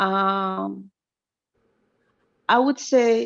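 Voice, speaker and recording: In a dry, close recording with no echo, a woman speaks with an African accent. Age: 20s. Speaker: caller. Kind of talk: call-in advice conversation. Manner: halting.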